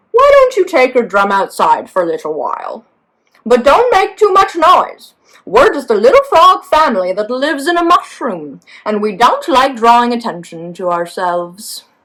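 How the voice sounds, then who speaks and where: A female-sounding, put-on character voice speaks at a high pitch and a moderate pace. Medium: read story.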